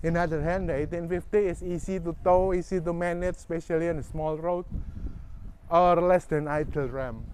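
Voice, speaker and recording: The speaker has a non-native accent and talks at a moderate pace. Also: man. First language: not English. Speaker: boat owner reviewer. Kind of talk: casual video walkthrough review.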